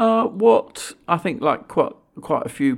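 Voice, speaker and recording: The recording is very clean and the background silent. A man talks in a British accent. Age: 50s. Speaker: think tank chief executive. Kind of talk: interview.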